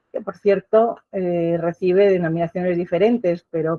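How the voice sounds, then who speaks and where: A woman's unremarkable speaking voice, fairly low in pitch. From Basque Country, San Sebastián. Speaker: professor. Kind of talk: lecture. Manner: formal.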